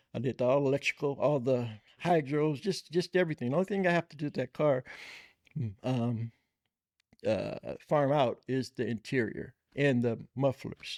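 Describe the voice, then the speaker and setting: In an American accent, a man speaks at a medium pitch and moderate pace with ordinary pitch variation and long, frequent pauses, in a dry, close recording with no echo. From Bay Area, California (Richmond). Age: 60s. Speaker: lowrider car builder. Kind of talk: casual interview chat.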